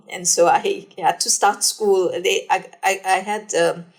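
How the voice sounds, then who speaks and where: Noticeable background noise surrounds this recording. A woman speaks at a fairly slow pace. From South Africa, KwaZulu-Natal. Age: 60s. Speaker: epidemiologist, professor. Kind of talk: interview.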